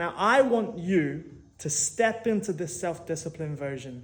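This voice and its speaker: A man's lively intonation comes with audible room echo. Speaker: motivational speaker / personal trainer. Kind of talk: motivational monologue.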